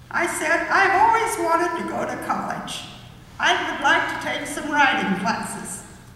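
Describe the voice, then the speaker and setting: An extremely high-pitched woman's voice at a fairly slow pace, over noticeable background noise. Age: 80s+. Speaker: university graduate, retired accountant. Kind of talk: graduation chapel speech.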